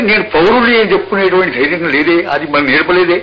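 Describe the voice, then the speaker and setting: A man with a Telangana accent, ordinary pitch variation and noticeable background noise. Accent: Telangana Telugu. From Warangal, Telangana, India. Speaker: poet and freedom fighter. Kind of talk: radio interview answer. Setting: radio interview.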